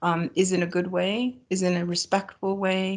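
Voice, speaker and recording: A woman with a Great Lakes accent, medium pitch, fairly even intonation and a moderate pace. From Ontario, Canada (Bruce Peninsula). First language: Ojibwe. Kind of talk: ceremonial opening acknowledgement. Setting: video call.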